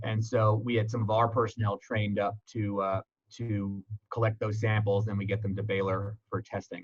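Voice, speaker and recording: The voice is somewhat breathy. Its intonation stays monotone and flat. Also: man. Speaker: EMS medical director. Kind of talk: presentation. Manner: fast.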